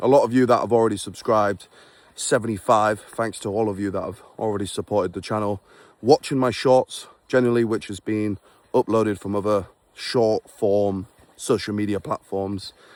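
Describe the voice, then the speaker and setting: A man with a Yorkshire accent at a moderate pace, fairly low in pitch, fairly even in intonation, in a dry, close sound with no echo. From England (Beverley, Yorkshire). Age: 20s. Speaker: vlogger and forex trader. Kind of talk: casual vlog monologue. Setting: outdoors on a walk in snow. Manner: unscripted, conversational.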